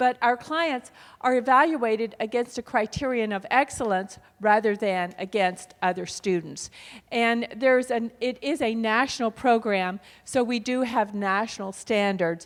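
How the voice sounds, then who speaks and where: A woman speaks at a fairly slow pace in a plain, everyday voice, her pitch fairly high with ordinary variation, on a very clean recording with a silent background. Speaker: adult education program representative. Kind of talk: conference presentation.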